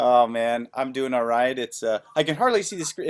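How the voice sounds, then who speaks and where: A man speaks in a normal speaking voice at medium pitch. His pace is fairly quick. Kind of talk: casual podcast interview host.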